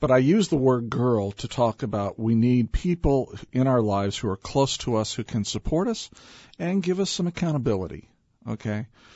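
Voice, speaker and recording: It is a normal speaking voice with lively intonation, moving at a moderate pace. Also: man, medium pitch for a man. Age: 50s. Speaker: business leader and author. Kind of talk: radio interview.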